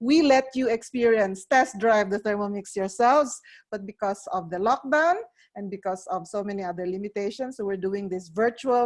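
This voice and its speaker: At a moderate pace, a woman with a Filipino accent speaks in a fairly high pitch with lively intonation. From Philippines. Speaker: cooking appliance sales advisor. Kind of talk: product demonstration. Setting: online video presentation.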